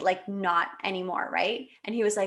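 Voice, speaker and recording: Her tone bright, sharp and animated, a woman talks at a moderate pace with a medium pitch. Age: 30s. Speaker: podcast guest, network marketer and mother. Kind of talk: casual interview chat, personal story. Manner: animated, with many fillers and restarts.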